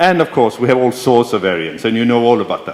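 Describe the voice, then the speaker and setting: A man speaks at a medium pitch with lively intonation. Background noise is noticeable throughout. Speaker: professor. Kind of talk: lecture.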